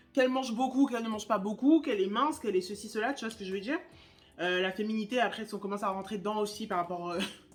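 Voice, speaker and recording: Very fast pace from a woman with a fairly high pitch and ordinary pitch variation. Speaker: YouTuber, spirituality content creator. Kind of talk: casual chat while doing makeup. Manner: casual, many fillers and restarts.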